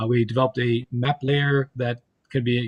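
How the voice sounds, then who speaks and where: A man speaks at medium pitch in a monotone, flat delivery. His voice is somewhat breathy. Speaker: state environmental program official. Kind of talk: committee testimony presentation.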